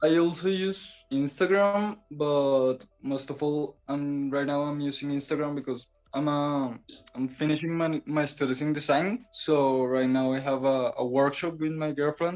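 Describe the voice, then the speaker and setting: Here a man speaks with a Spanish accent at a moderate pace. His voice is fairly high, with fairly even intonation. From Colombia, Bogota. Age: 20s. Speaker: photographer and design student. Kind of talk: interview. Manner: halting.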